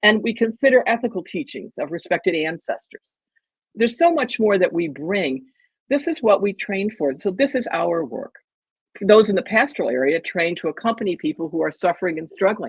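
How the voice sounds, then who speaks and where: A woman's medium-pitched voice with vocal fry and very wide pitch swings, at a fairly quick pace. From US Northeast. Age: 70s. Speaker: theologian and activist. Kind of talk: interview. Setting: podcast.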